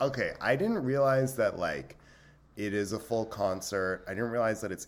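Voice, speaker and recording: A man's fairly low voice with vocal fry and very wide pitch swings. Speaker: podcast host. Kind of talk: casual chat. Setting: video call.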